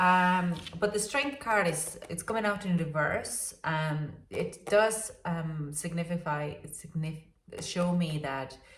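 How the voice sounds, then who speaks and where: A somewhat breathy woman speaks very slowly in a fairly low pitch. Her pitch varies in an ordinary way, and audible room echo is present. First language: not English. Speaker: tarot reader. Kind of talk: tarot reading. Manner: halting, many fillers.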